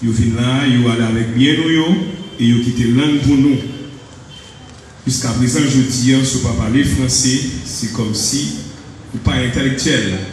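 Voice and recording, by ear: A man's slightly mellow tone in strong room echo. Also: medium pitch for a man, ordinary pitch variation, moderate pace.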